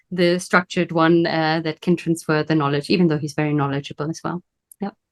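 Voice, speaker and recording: A woman speaks at a fairly quick pace with fairly even intonation and a fairly low pitch. The sound is dry and close, with no echo. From Germany. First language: German. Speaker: business coach. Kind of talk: interview.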